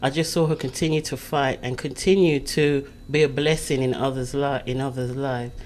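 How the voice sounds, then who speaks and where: With a slight British accent, a woman speaks in a very deep, low pitch and monotone, flat intonation. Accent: light British. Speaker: magazine publisher. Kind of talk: casual interview.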